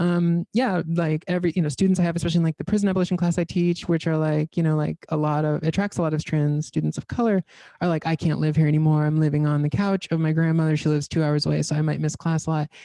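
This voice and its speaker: The speech comes at a very fast pace with hardly any pauses. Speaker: professor. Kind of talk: academic talk Q&A. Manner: halting, many fillers.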